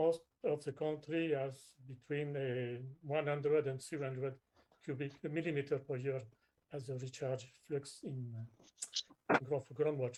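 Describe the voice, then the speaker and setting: A man with a non-native accent speaks at a fairly slow pace. His voice is fairly high in pitch, with monotone, flat intonation. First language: not English. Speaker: groundwater expert. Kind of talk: webinar presentation. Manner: halting.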